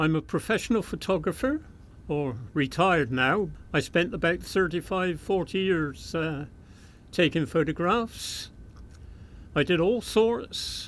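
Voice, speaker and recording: Speaking with a West Country accent, a man talks at a fairly slow pace with lively intonation. His pitch is high, and the recording is very clean with a silent background. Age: 80s+. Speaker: retired railway fireman and photographer. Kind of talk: oral history interview. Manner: hesitant, with frequent fillers.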